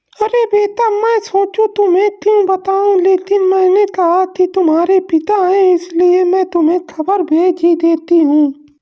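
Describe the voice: In a cartoonish character voice pitched extremely high, a woman talks at a fairly slow pace with fairly even intonation and hardly any pauses.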